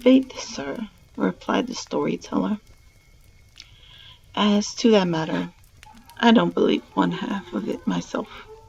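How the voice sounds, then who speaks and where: Noticeable background noise runs under speech delivered at a very slow pace with long, frequent pauses. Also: woman. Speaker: streamer reading stories aloud. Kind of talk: reading aloud; casual sign-off to live stream viewers. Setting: live stream.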